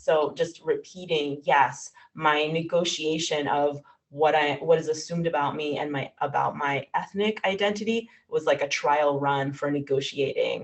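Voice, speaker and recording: This woman's pitch is very deep and low. She speaks at a moderate pace with ordinary pitch variation. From New York. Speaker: writer. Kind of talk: Q&A answer at a virtual reading.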